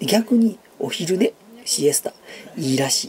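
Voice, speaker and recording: A man's voice over light background noise. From Japan. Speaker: YouTuber; vlogger. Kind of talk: casual chat. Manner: hesitant with many fillers. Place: home room. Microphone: phone near.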